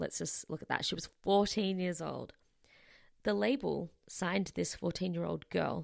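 A woman with an Australian accent, talking at a moderate pace. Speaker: podcast host. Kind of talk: solo podcast monologue.

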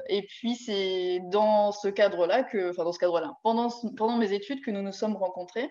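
A woman with a plain, everyday voice, at a moderate pace with hardly any pauses and ordinary pitch variation. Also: medium pitch for a woman. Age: 30s. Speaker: poultry farmer. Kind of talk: casual chat. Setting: live stream.

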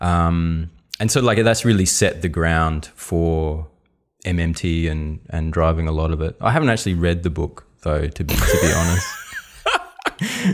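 In an Australian accent, a man speaks at a moderate pace with a very deep, low pitch and ordinary pitch variation, in a very clean recording with a silent background. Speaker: economist, podcast co-host. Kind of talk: casual chat.

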